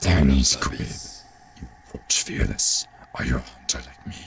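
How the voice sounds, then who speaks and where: A man speaks in a put-on character voice. His pitch is very deep and low, at a moderate pace. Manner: crazy, intense.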